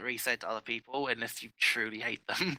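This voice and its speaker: A man with an English accent speaks at a medium pitch in a bright, sharp tone, with fairly even intonation and a dry, close sound with no echo. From England. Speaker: game community admin. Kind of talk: live commentary.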